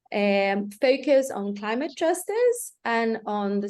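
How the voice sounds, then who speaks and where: A woman with a Portuguese accent and ordinary pitch variation. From Brazil. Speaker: climate funds network coordinator. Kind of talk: panel talk on video call.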